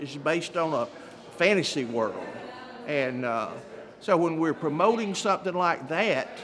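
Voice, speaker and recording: At a moderate pace, a high-pitched man talks with lively intonation amid audible room echo and noticeable background noise. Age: 70s. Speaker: event attendee interviewed. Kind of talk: post-event interview.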